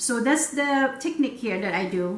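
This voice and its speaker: A woman with a Filipino accent, high-pitched and fairly slow, in a room with audible echo. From Philippines. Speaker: cooking vlogger. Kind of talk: cooking tutorial. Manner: halting, many fillers.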